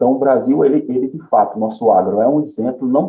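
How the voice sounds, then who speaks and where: Medium-pitched male voice with a dark, mellow tone, very wide pitch swings, and a moderate pace. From Paraíba sertão, Brazil. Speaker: economist, head of a research institute. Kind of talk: interview. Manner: hesitant, repeats words.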